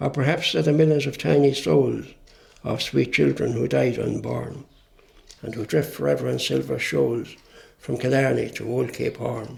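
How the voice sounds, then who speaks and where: A man with an Irish accent at a moderate pace. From Ireland. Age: 70s. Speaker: poet. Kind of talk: poetry reading.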